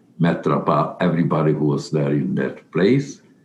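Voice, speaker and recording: A man speaks with a very deep, low pitch. Vocal fry runs through his voice. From Carpathian Ruthenia (Czechoslovakia/Hungary). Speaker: Holocaust survivor. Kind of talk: testimony. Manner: halting.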